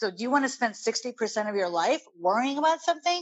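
A woman's intonation is lively as she talks at a fairly quick pace. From Chicago, US, Indian immigrant parents. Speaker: guest sharing life story. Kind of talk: interview.

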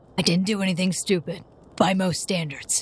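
Using a raspy, put-on character voice, a woman speaks at a moderate pace. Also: medium pitch for a woman. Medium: actual play. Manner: evasive, curt.

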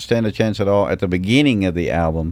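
Talking at a fairly quick pace, a man uses a fairly low pitch with a Southern US accent. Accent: Southern US, noticeable. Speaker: singer-songwriter. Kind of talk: casual interview chat. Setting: recording studio.

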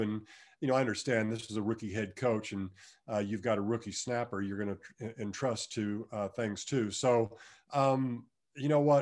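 Speaking at a fairly quick pace with an American accent, a man has an unremarkable speaking voice at medium pitch and fairly even intonation. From Kansas. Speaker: retired football player. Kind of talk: podcast interview.

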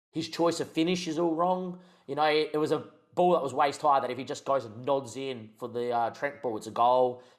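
Fairly quick speech from a man with an Australian accent, fairly high in pitch, with ordinary pitch variation. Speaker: podcast co-host. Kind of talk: casual sports chat.

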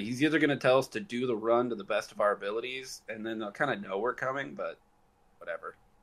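A man at a very fast pace, medium in pitch with ordinary pitch variation. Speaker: tabletop game player. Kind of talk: casual chat, tabletop roleplaying game session.

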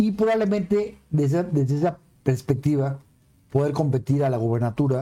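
A man with a Mexican accent speaks fairly quickly at a fairly high pitch, somewhat breathy, with a dark, mellow tone, lively intonation and very even loudness. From Mexico City. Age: 60s. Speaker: politician and civil engineer. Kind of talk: casual chat.

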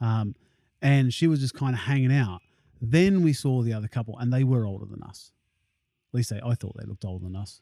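Medium pitch from a man with a dark, mellow tone at a fairly quick pace, on a very clean recording with a silent background. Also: ordinary pitch variation. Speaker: podcast host. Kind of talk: casual conversational podcast.

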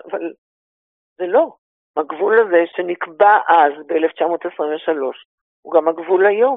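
Fairly low in pitch, a woman speaks at a very slow pace. She leaves long, frequent pauses. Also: ordinary pitch variation. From Israel (Ra'anana). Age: 80s+. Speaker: tour guide, former teacher. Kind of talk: interview.

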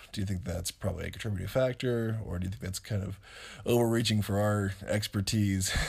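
A man with a fairly low pitch, an American accent and a plain, everyday voice talks at a fairly quick pace. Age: 30s. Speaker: co-host, partner of host. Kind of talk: casual chat.

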